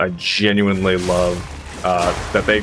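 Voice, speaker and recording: Music plays in the background as a man speaks at a fairly low pitch. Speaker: gaming YouTuber and streamer. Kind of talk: gameplay commentary. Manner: loud; casual, with many fillers and repeats.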